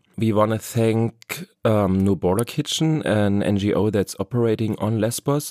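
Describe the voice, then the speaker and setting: With a German accent, a man speaks fairly slowly in a fairly low pitch and a dark, mellow tone, with ordinary pitch variation and a dry, close sound with no echo. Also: very even loudness. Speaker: podcast host. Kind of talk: podcast intro and interview.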